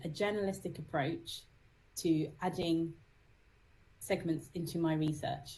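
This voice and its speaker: Speaking very slowly with a British accent, a woman uses a fairly low-pitched, dark, mellow tone that is somewhat breathy, with fairly even intonation. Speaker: psychotherapist and musician. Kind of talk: interview.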